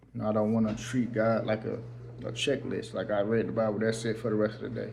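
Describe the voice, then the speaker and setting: There is audible room echo around a man talking at a very fast pace. His medium pitch has vocal fry and fairly even intonation. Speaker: faith vlogger. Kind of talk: personal vlog testimony. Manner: halting.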